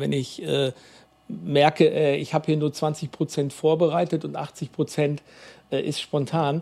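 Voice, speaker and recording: Dark, mellow tone in a fairly high male voice. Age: 40s. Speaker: youth mission worker. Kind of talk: interview. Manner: halting, many fillers.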